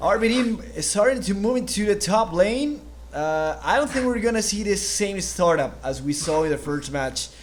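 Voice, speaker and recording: A man with a non-native accent speaks at a moderate pace. His pitch is high and swings very widely. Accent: foreign accent in English. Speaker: esports caster. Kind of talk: live commentary. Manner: halting.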